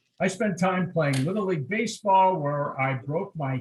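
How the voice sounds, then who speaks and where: This man talks with an American accent and lively intonation. His voice is somewhat breathy. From Southern California, San Diego. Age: 60s. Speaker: chamber of commerce president. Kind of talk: personal life story talk.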